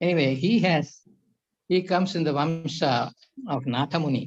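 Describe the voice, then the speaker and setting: Somewhat breathy, the voice shows ordinary pitch variation in a dry, close sound with no echo. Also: man. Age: 80s+. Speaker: yoga professor. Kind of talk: lecture.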